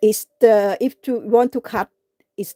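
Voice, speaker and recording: Very slowly and with a non-native accent, a woman speaks in a dark, mellow tone with fairly even intonation, the sound dry and close with no echo. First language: not English. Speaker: craft livestreamer. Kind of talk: live craft tutorial. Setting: live stream. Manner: halting, many fillers.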